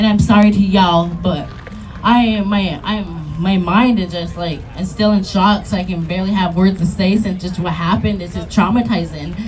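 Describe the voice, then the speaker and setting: A woman speaks at a moderate pace with fairly even intonation. Music plays in the background, and room echo is audible. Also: medium pitch for a woman. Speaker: youth activist. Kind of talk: protest speech. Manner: halting.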